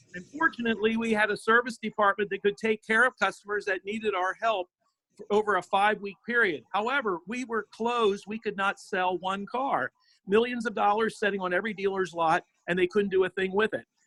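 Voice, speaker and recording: A man projects a raised, high voice with a bright, sharp tone at a fairly quick pace. The sound is dry and close with no echo. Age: 60s. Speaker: car dealership owner. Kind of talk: public comment.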